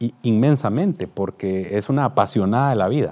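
This is a man speaking. His pitch is medium. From Guatemala, Guatemala City. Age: 50s. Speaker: business executive. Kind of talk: interview. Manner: formal.

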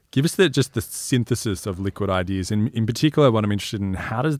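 With an Australian accent, the voice races at a very fast pace with lively intonation. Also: man. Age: 30s. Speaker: podcast host. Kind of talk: interview. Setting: studio.

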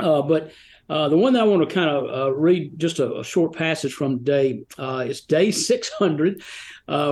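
Against a quiet background, a man with an unremarkable speaking voice and an American accent talks at a moderate pace, his fairly high pitch showing ordinary variation. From US South, Rome, Georgia. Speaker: author of devotional books. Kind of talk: casual interview. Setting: remote call.

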